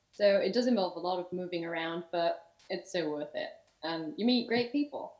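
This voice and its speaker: The speaker has a Yorkshire accent and lively intonation. The pace is moderate. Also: woman, medium pitch for a woman. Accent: sounds like from Yorkshire. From Germany, half English. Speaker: summer camp counsellor. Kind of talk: casual interview.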